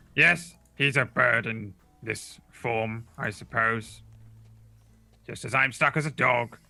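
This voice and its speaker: Using a put-on character voice at a medium pitch, a man speaks at a fairly slow pace with long, frequent pauses. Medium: actual play. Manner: condescending, dry.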